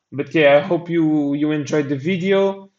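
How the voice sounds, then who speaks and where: A man speaks with a non-native accent. His pitch is fairly high, with ordinary pitch variation. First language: not English. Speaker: crypto trading analyst. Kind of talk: market analysis commentary. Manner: halting; casual.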